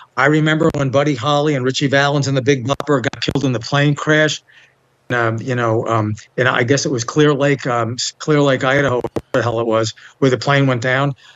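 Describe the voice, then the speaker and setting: In a New York accent, a man speaks at a fairly quick pace with a medium pitch and fairly even intonation. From New York, Bronx / Long Island. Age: 70s. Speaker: interview guest. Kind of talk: casual interview.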